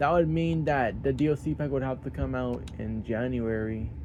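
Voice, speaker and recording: The man's pitch swings very widely. He talks at a fairly slow pace. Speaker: gaming YouTuber. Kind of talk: casual vlog talk.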